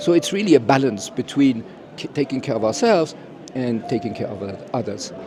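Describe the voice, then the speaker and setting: Noticeable background noise sits behind a man speaking at a fairly quick pace in a medium-pitched voice. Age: 70s. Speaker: educator. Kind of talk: interview. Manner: halting, many fillers.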